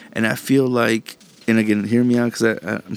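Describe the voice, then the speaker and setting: A man with an American accent speaks at a moderate pace. Music plays in the background. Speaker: podcast host. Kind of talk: angry rant. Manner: profane, fired-up, riled and agitated, spitting out insults and swearing.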